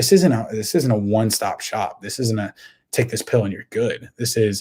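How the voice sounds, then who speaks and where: At a very fast pace, a man speaks with a dark, mellow, somewhat breathy tone, a medium pitch and fairly even intonation. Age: 20s. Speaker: podcast host. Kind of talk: motivational monologue. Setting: home recording. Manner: repetitive, stammering restarts.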